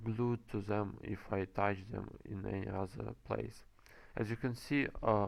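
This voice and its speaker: A man's fairly low voice at a fairly slow pace. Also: ordinary pitch variation. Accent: non-native. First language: not English. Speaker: game developer and commentator. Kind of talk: gameplay commentary. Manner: halting, many fillers.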